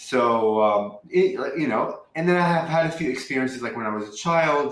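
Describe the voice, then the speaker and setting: A man with a Lebanese accent, fairly quick and lively in intonation, with audible room echo. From Lebanon. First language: Arabic. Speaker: spiritual channeler. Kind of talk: interview. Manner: many ums and likes as fillers.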